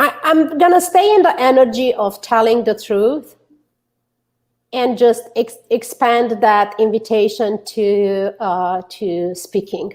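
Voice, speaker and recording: In a Romanian accent, a woman speaks at a very slow pace with a fairly high pitch and lively intonation. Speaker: author and public speaker. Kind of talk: interview chat.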